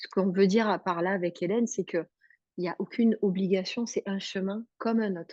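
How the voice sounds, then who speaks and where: A woman speaks with a dark, mellow tone at a fairly quick pace. Her intonation stays fairly even. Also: medium pitch for a woman. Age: 40s. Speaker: hypnotherapist and webinar co-host. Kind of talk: webinar presentation. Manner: hesitant, many fillers.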